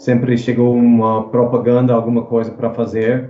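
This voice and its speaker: With audible room echo, a man speaks in an English accent using a flat, monotone intonation. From US South, New Orleans. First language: English (speaking Portuguese). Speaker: actor. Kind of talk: casual chat. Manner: halting.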